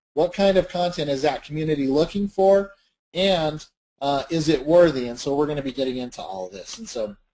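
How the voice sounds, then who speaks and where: This man talks at a fairly quick pace in a fairly high voice. His pitch varies in an ordinary way. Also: big swings in loudness. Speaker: webinar presenter on social media marketing. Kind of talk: webinar presentation. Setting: online webinar. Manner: fast; animated.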